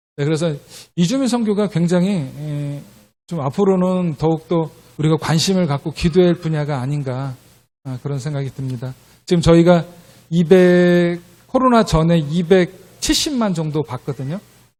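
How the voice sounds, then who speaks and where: The recording is very clean with a silent background. A man speaks in a high voice with ordinary pitch variation. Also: moderate pace. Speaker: missionary. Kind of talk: missionary report in church service. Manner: hesitant with frequent fillers.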